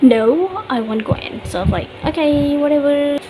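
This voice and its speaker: A woman speaks with ordinary pitch variation. Noticeable background noise runs behind her. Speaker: book flip-through video maker. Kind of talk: casual talk to camera.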